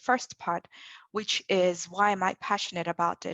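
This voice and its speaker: Speaking with an African accent, a woman uses a medium pitch and fairly even intonation, recorded with a dry, close sound, no echo, and a quiet background. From Zambia. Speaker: developer advocate. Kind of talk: panel discussion.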